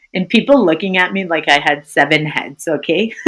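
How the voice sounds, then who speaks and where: A fairly low-pitched woman in an American accent, sing-song with lively intonation. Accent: American accent, even when speaking French. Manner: friendly, sing-songy.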